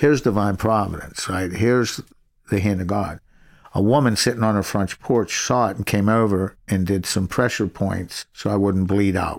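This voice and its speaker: In a plain, everyday voice, a man with an American accent talks at a moderate pace with fairly low pitch and fairly even intonation, in a very clean recording with a silent background. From Pittsburgh area, Pennsylvania. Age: 60s. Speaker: former criminal, ministry worker. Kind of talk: testimony.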